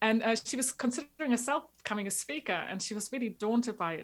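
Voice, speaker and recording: Talking at a very fast pace, a woman has a fairly high pitch and ordinary pitch variation. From former East Germany. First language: German. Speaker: marketing coach for agencies. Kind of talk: podcast interview. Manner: energetic.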